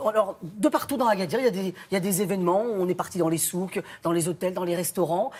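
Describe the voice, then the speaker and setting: A man talks with a high pitch and ordinary pitch variation. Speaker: TV food reporter. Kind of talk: lively TV segment chat. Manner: fast; animated.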